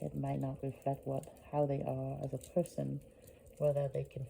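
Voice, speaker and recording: A soft-spoken woman talks at a moderate pace. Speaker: vlogger. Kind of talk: casual monologue. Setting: at home at night, family sleeping. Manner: soft-spoken, low voice; halting, many fillers.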